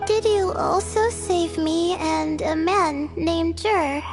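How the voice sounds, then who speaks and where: A put-on character voice at a fairly slow pace over loud background music. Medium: video game. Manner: curious, polite.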